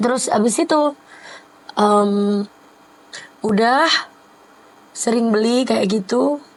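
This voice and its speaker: Very slow speech from a woman at a fairly high pitch, with ordinary pitch variation and long, frequent pauses, against noticeable background noise. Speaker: singer and vlogger. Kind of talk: casual chat.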